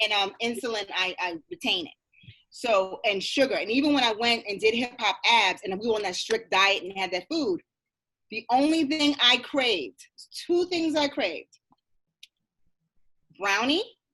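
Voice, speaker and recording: Speaking at a moderate pace, a woman leaves long, frequent pauses. Her fairly high voice is bright and sharp, with very wide pitch swings. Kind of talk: casual podcast conversation.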